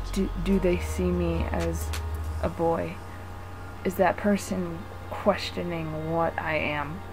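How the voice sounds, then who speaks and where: Over background music, a woman with a very deep, low pitch speaks at a very slow pace, with ordinary pitch variation and long, frequent pauses. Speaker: vlogger. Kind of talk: personal vlog. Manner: pitch shifts between higher and lower; hesitant, rambling.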